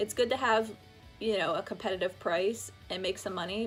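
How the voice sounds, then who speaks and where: Music runs beneath the recording. Over it, a woman speaks at a fairly quick pace. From Pittsburgh. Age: 20s. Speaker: fashion reseller. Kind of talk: casual talk to camera.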